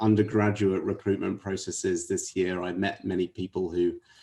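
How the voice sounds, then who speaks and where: With a London accent, a man speaks in a fairly low pitch and a dark, mellow tone, his intonation monotone and flat. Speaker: management consultant. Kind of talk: interview.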